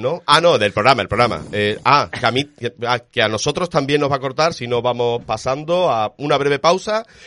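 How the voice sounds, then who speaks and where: A man talks in a bright, sharp tone at medium pitch with lively intonation. His pace is moderate and the background quiet. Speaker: radio film show host. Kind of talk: radio show, casual panel chat.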